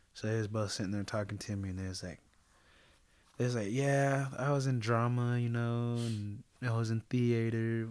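A man speaks in a plain, everyday voice with an American accent, medium pitch and fairly even intonation, recorded very cleanly against a silent background. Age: 20s. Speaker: actor and jiu-jitsu athlete. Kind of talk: casual interview chat.

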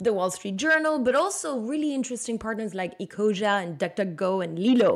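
A woman with a Belgian French accent speaks at a fairly high pitch and fairly quick pace with lively intonation, in a very clean recording with a silent background. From Belgium. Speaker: marketing executive. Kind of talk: interview.

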